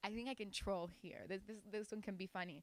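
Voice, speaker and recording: A woman with a Spanish accent, fairly high-pitched, bright and sharp, animated and fairly quick, in a dry, close sound with no echo on a very clean, silent recording. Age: young. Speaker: singer and rapper. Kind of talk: interview, casual.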